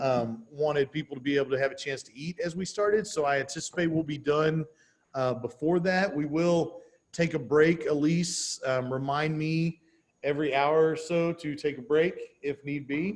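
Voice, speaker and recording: A man with an American accent and an unremarkable speaking voice, fairly high in pitch, at a moderate pace, with ordinary pitch variation and big swings in loudness. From Texas. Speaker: real estate trainer. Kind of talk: workshop training session. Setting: video call with live stream.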